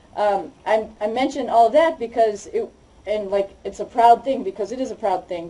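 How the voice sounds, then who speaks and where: With a Boston accent, a woman talks at a moderate pace, her fairly high pitch showing ordinary variation and her tone dark and mellow. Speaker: astronaut. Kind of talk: public talk about her experience.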